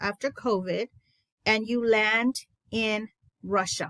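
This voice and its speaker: A woman with a Spanish accent, her fairly high voice dry and close with no echo. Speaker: education consultant. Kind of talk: teacher training webinar. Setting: online presentation. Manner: enthusiastic.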